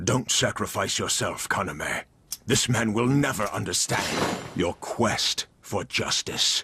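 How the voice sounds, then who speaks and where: Using a cartoonish character voice at a medium pitch, a man talks at a fairly slow pace. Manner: grave, deliberate.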